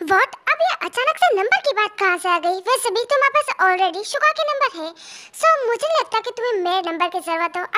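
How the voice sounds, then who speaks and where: Putting on a character voice, a woman speaks at a very fast pace in a squeaky, extremely high pitch with very wide pitch swings. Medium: audio drama. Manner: sharp, bossy, quick to scold.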